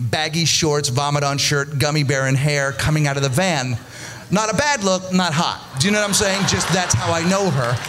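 A man speaks at a moderate pace with ordinary pitch variation while music plays in the background. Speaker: stand-up comedian. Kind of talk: stand-up comedy routine. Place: stage. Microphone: handheld.

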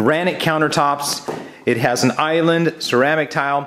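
A man's voice over a quiet background. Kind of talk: property tour commentary. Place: empty room. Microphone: phone near.

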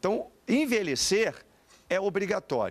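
A man is speaking. His intonation is lively. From Brazil. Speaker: pastor. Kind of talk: TV panel debate. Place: studio. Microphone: handheld.

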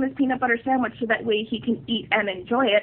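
A woman is talking. She moves at a fairly quick pace. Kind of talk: commentary on a film theory. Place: home room. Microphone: lapel.

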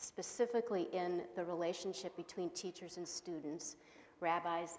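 In a normal speaking voice, a woman talks fairly slowly at a fairly low pitch with ordinary pitch variation. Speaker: host introducing a lecturer. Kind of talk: formal introduction speech. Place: hall. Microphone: lapel.

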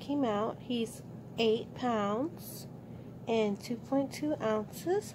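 A woman's voice amid noticeable background noise. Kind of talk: casual vlog chat. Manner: slow, drowsy, exhausted post-surgery voice. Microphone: phone near.

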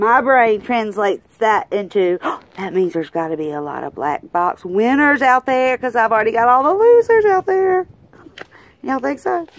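In a Southern US accent, a woman speaks at a fairly high pitch with an upbeat tone. Her pitch swings very widely, and her pace is moderate. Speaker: lottery scratch-off YouTuber. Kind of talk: casual talk to camera. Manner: chatty, upbeat.

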